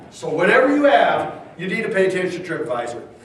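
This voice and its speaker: A loud man talks at a fairly quick pace with an animated tone and very wide pitch swings. Noticeable background noise and audible room echo fill the recording. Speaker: tourism consultant. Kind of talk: presentation to community audience.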